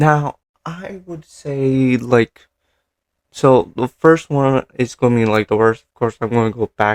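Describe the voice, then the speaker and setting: Over a very clean recording with a silent background, a man speaks at a fairly slow pace with ordinary pitch variation. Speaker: anime commentary youtuber. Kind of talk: casual commentary vlog. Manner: halting, stumbling over words.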